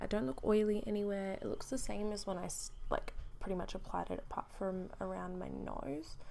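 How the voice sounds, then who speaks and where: A woman talks softly. Her pace is fairly quick. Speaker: beauty vlogger. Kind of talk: casual vlog talk. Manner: soft-spoken.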